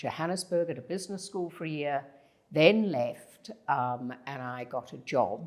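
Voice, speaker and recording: A woman with a Zimbabwean accent speaks in a very deep, low pitch with lively intonation. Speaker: leadership consultant. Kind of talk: podcast interview.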